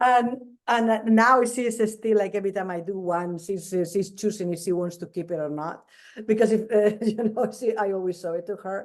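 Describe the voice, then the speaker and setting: A woman speaks at a moderate pace with a non-native accent. Her pitch sits in the medium range. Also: ordinary pitch variation. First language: not English. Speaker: crochet doll designer. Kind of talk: interview. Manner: halting, many repetitions.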